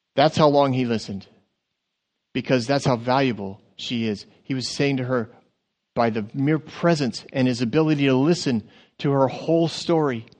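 The delivery moves at a moderate pace with ordinary pitch variation. Behind it lies a quiet background. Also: man. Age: 50s. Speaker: pastor. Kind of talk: sermon. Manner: halting.

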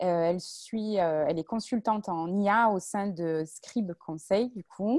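Dry and close with no echo, a woman's voice carries a strong southern French accent, a dark, mellow tone, fairly even intonation and medium pitch. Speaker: volunteer moderator. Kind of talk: moderating a panel. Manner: hesitant with many fillers.

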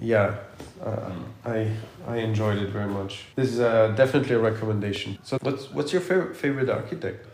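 Lively intonation marks this man's very fast delivery. His pitch is medium, and noticeable background noise can be heard. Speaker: podcast host and architect. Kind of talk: casual interview conversation. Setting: studio podcast recording.

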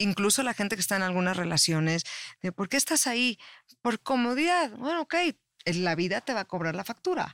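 A woman's voice makes very wide pitch swings in a dry, close sound with no echo on a very clean recording with a silent background. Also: medium pitch for a woman, fairly quick pace. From Mexico. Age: 50s. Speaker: life coach and public relations expert. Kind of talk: casual interview chat.

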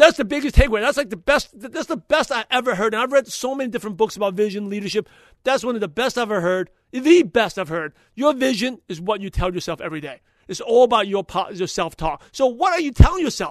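A man speaks fast and high-pitched, with few pauses. His intonation is lively and his tone passionate.

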